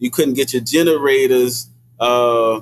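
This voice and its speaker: A man speaks with a New Orleans accent. His pace is moderate. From New Orleans, Desire Project. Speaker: hip hop artist and activist. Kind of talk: casual chat. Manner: halting, many fillers.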